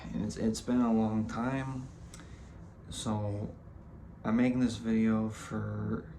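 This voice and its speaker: A man speaks at a very slow pace, with long, frequent pauses and a monotone, flat intonation at a medium pitch, over audible room echo and noticeable background noise. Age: 20s. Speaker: vlogger. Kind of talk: casual vlog monologue. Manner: halting, many fillers and repetitions.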